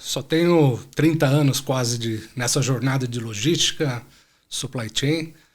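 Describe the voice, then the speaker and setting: This man's voice is somewhat breathy. There is ordinary movement in his pitch. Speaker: supply chain executive. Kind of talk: podcast interview.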